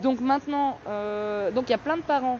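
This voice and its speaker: A woman speaks fairly slowly in a high pitch, with ordinary variation in it. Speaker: mother on hunger strike, activist. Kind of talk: livestream protest statement. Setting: outdoors in front of courthouse.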